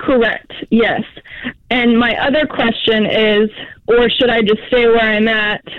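Fairly slow, monotone, flat speech from a woman with a fairly high pitch, amid noticeable background noise. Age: 30s. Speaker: caller, waitress. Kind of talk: phone-in question. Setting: phone call.

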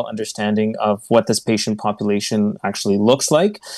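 This man has a normal speaking voice and a fairly quick pace with fairly even intonation. The recording is very clean, with a silent background. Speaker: doctor working in hospitals and long term care. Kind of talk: radio interview.

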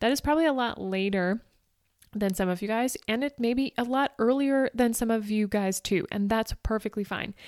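Recorded very cleanly against a silent background, a woman speaks with an animated tone, ordinary pitch variation and a moderate pace, the sound dry and close with no echo and her loudness very even. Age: 40s. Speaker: running coach and podcast host. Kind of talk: motivational solo podcast.

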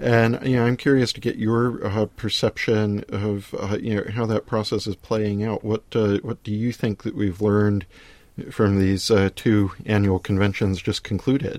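On a very clean recording with a silent background, a man speaks at a moderate pace in a fairly low voice with fairly even intonation. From United States. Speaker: podcast host, newspaper editorial writer. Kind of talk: political interview. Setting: studio. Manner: hesitant, many fillers.

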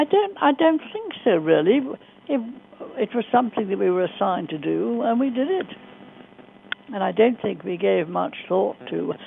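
The speech moves at a moderate pace with long, frequent pauses. Background noise is noticeable. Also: woman. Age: 90s. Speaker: war veteran. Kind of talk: casual chat.

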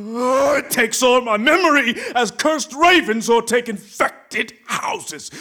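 Slowly, a man performs a put-on character voice with a bright, sharp tone, an extremely high pitch and ordinary pitch variation.

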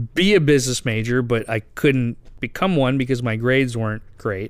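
An ordinary speaking voice from a man, medium in pitch, with ordinary pitch variation on a very clean recording with a silent background. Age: 30s. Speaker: finance podcast host. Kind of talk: interview.

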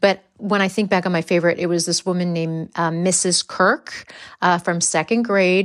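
A woman with an American accent talks with fairly even intonation. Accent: American accent, living in England. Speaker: actor and comedian. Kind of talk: casual chat. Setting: video call from another country.

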